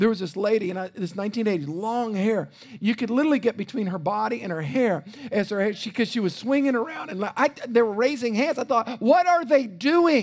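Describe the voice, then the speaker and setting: A man with a Louisiana accent, high in pitch and fairly quick, his animated tone and lively intonation heard over noticeable background noise. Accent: US South (Louisiana). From South Louisiana. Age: 50s. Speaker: pastor. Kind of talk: sermon. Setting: church.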